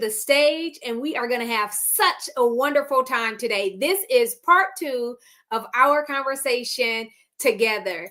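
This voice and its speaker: A woman with an American accent talks at a fairly slow pace in a raised, projected voice. Her pitch is high and her tone bright, sharp and animated. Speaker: podcast host, plant-based nutrition coach. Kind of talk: interview.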